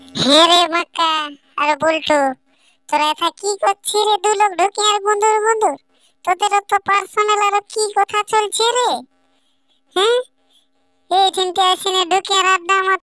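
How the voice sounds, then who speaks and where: A woman's cartoonish character voice, extremely high in pitch, at a moderate pace. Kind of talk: cartoon village comedy. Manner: teasing, nosy.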